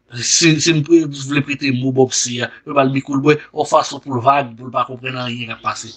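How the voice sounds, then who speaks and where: A man speaks in a monotone with flat intonation against a quiet background. His volume rises and falls sharply. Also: fairly quick pace. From Haiti. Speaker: news commentary video host. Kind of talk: news commentary. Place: studio.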